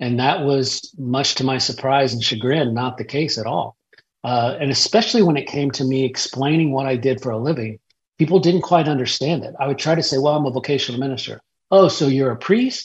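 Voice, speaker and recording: Fairly quick and somewhat breathy, a man speaks at a fairly high pitch with ordinary pitch variation. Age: 50s. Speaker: pastor and author. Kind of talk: interview.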